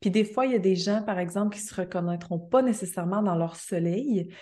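Her tone is dark and mellow, and her voice somewhat breathy. This woman speaks at a moderate pace with a medium pitch. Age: 30s. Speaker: astrologer. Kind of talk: casual interview.

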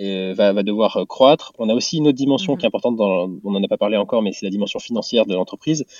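Hardly pausing, a man of medium pitch talks at a very fast pace with ordinary pitch variation. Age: 20s. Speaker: startup founder and CEO. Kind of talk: interview. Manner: halting, many fillers.

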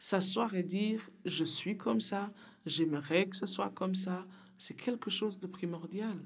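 Very slow female speech at a medium pitch, its pitch varying in an ordinary way. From Burundi. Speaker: community worker at a women's association. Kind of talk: interview testimony. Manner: halting, repeats words.

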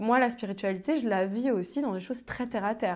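Delivered in an ordinary speaking voice, the speech moves at a moderate pace with ordinary pitch variation. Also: woman. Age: 30s. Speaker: public speaker and entrepreneur. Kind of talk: casual interview.

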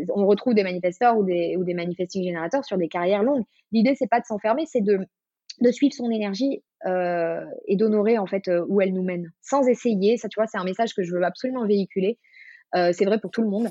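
This woman has a plain, everyday voice with a medium pitch and ordinary pitch variation. She talks at a fairly quick pace. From southern France, Marseille. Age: 30s. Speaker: self-knowledge coach. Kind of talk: casual interview.

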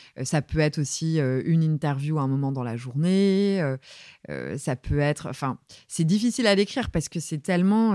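A woman with a very deep, low pitch speaks at a moderate pace with ordinary pitch variation, in a very clean, dry, close recording with a silent background and no echo. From Brittany, France (Saint-Brieuc). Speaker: music journalist, magazine editor. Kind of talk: interview. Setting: office. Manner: assertive.

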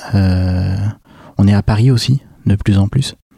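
A man's fairly low voice with fairly even intonation, in a dry, close sound with no echo. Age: 30s. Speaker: startup founder. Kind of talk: interview.

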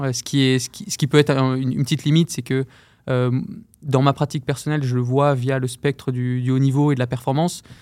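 The recording is very clean, its background silent. Speech moves at a fairly quick pace. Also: man, medium pitch for a man, fairly even intonation. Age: 30s. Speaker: running shoe product manager and elite runner. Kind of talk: interview. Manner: halting, many repetitions.

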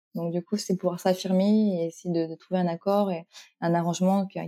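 Flat, monotone intonation from a woman at a medium pitch, her tone dark and mellow, with a dry, close sound and no echo. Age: 30s. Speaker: flight operations agent. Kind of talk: interview.

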